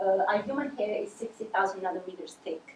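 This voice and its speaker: The pace is moderate, with ordinary pitch variation. Noticeable background noise runs throughout. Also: woman. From Sicily, Italy. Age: 20s. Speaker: PhD student researcher. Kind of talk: award acceptance presentation. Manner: halting. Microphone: too far from the mic.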